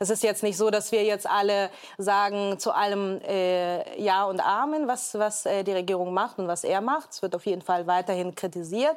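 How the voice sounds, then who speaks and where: A woman speaks at a moderate pace with medium pitch and ordinary pitch variation, in a very clean recording with a silent background. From Hamburg, Germany. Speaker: entrepreneur and podcaster. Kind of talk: talk show discussion. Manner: hesitant, many fillers.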